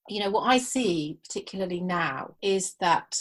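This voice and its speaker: A woman with an English accent at a moderate pace, lively intonation, on a very clean recording with a silent background. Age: 60s. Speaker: holistic health coach and author. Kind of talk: podcast interview.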